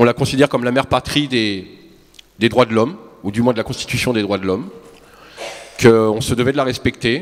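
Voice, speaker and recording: A man's medium-pitched voice shows ordinary variation in pitch. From France. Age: 40s. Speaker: protester testifying. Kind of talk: testimony. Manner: halting.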